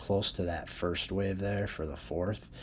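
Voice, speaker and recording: A man speaks at a very deep, low pitch and a moderate pace. His voice is somewhat breathy. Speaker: crypto chart analyst. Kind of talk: tutorial. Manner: casual.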